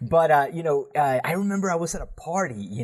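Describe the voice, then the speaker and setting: A man talks with a Spanish accent. His pitch varies in an ordinary way. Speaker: podcast host. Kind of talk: casual chat.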